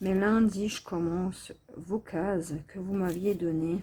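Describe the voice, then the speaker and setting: Soft-spoken and somewhat breathy, a woman talks at a very slow pace with fairly even intonation and a dark, mellow tone. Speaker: diamond painting vlogger. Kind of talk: casual vlog talk. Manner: speaking softly.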